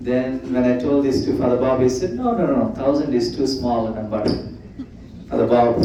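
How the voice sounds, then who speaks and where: Heard with audible room echo and noticeable background noise, a man speaks. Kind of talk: presentation to church audience.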